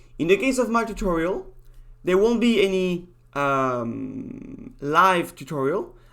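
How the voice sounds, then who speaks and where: The speaker has a strong French accent. The pace is fairly slow. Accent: thick French. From France. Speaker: university lecturer. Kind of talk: lecture. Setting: video call. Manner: halting.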